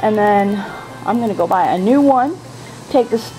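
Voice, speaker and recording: Fairly slow speech with lively intonation and music in the background. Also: woman. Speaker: home vlogger. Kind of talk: casual vlog chat. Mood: mildly annoyed, chatty. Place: garden. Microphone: phone near.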